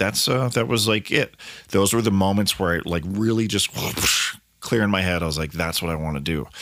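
Here is an ordinary speaking voice from a man with an American accent. He speaks at a fairly quick pace and a fairly low pitch. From Colorado, US. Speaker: musician and podcast host. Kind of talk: casual solo monologue.

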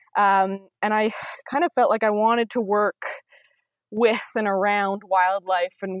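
A plain, everyday voice at a moderate pace, with ordinary pitch variation, a dry, close sound with no echo, and a quiet background. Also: woman. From Ontario, Canada. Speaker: wilderness guide. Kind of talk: interview.

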